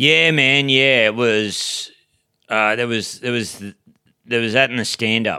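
A man in a rural Australian accent talks at medium pitch and a fairly slow pace, with ordinary pitch variation, a bright, sharp tone, and long, frequent pauses. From rural New South Wales-Queensland border, Australia. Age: 40s. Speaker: stand-up comedian. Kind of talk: casual chat.

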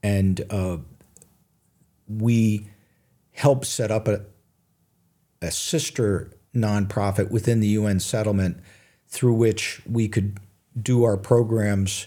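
Very slowly, with long and frequent pauses, a man speaks at a fairly low pitch with fairly even intonation and a dark, mellow tone. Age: 70s. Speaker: physician and author. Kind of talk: interview. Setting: studio. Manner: halting, many fillers.

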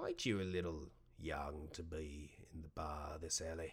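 Putting on a character voice, a man sounds gruff and very deep, low in pitch, speaking at a moderate pace in a monotone, flat way. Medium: actual play.

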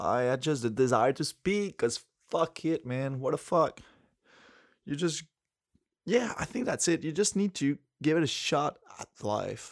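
Speaking at a fairly slow pace with long, frequent pauses, a man with a French accent uses lively intonation at a fairly high pitch. The recording is very clean with a silent background, its sound dry and close with no echo. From Quebec City, Canada. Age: 20s. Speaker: solo vlogger. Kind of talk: casual solo monologue, rambling about himself. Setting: sitting on the floor in the dark, home recording. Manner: halting, hesitant, with filler words; reflective, laughs often.

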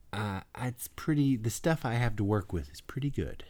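A man's somewhat breathy, animated voice at a moderate pace. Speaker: podcast co-host. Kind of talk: casual chat. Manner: animated, joking.

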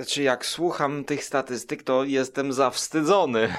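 This recording is very clean, its background silent. A man is speaking. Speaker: podcaster. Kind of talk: casual chat. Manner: hesitant, many fillers.

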